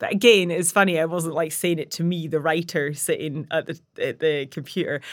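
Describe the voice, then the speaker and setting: A woman with an unremarkable speaking voice talks at a fairly quick pace with hardly any pauses, fairly low pitch, and fairly even intonation. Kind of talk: casual interview chat. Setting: studio.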